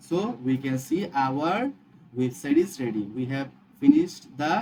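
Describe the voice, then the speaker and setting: Very slow, lively speech from a man with a dark, mellow tone. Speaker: web development tutor. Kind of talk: coding tutorial. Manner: halting, with restarts and fillers.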